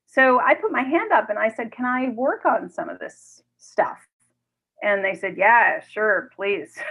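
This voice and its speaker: This woman's voice sits high in pitch and swings very widely up and down. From New York City. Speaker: corporate responsibility expert and author. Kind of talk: interview conversation.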